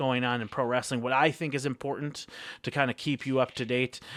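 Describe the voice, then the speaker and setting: A man speaks at a very fast pace and a medium pitch. The recording is very clean, dry and close, with a silent background and no echo. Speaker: wrestling vlogger. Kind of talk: casual vlog commentary. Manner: hesitant, many fillers.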